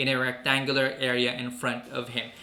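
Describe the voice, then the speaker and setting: A man keeps to a moderate pace while his voice echoes audibly around the room. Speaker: gaming video creator. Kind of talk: gameplay update commentary. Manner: casual with fillers.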